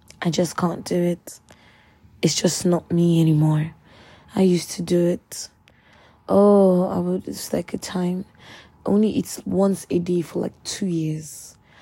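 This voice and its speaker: A woman's dark, mellow, somewhat breathy voice, fairly low-pitched, at a fairly slow pace with fairly even intonation and long, frequent pauses. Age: 20s. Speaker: podcaster. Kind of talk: personal monologue.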